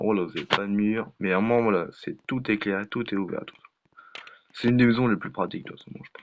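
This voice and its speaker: Very fast speech with big swings in loudness and fairly even intonation. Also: man, fairly low pitch for a man. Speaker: gaming youtuber. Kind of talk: gameplay commentary. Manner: halting, many fillers.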